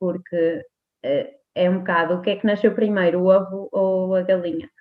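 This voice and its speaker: Here a woman speaks at a medium pitch. Her intonation is fairly even and her pace moderate. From Portugal, Póvoa de Varzim. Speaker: nutritionist. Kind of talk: interview. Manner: halting, many fillers.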